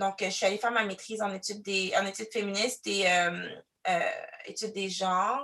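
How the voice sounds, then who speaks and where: A woman speaks at a medium pitch with a bright, sharp tone. Her intonation is fairly even. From Quebec City, Canada. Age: 30s. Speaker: diversity consultant. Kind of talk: interview testimony. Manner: loud; expressive.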